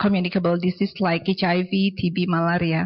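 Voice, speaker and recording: A woman's fairly low, somewhat breathy voice with an Indonesian accent and a monotone, flat intonation. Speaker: audience member asking questions. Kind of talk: Q&A question at symposium. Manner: halting, many fillers.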